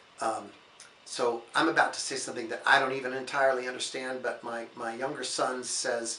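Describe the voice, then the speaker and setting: A man at a moderate pace with fairly even intonation, audible room echo and noticeable background noise. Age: 60s. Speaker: priest. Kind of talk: sermon-style reflection. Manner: calm, gentle.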